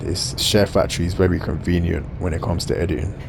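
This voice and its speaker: Someone talks at a very fast pace with a South London accent. The room echoes audibly, and background noise is noticeable. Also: man. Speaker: gaming YouTuber. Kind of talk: gameplay commentary. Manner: casual, conversational.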